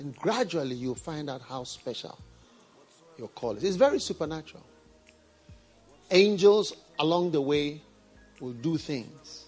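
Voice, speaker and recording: Music plays in the background as a man with a fairly high pitch talks at a fairly slow pace with ordinary pitch variation, long, frequent pauses and big swings in loudness. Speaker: pastor. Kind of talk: sermon. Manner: conversational, like talking one-on-one.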